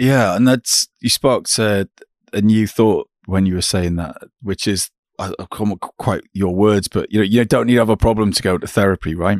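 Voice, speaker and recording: Dry and close with no echo, a man's unremarkable speaking voice moves at a moderate pace, fairly low in pitch with fairly even intonation. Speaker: podcast host and company founder. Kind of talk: interview. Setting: call.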